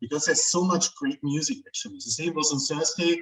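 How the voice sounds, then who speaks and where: Music plays in the background as a man speaks very fast in a high voice with very wide pitch swings. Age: 40s. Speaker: metal music interviewer. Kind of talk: casual chat.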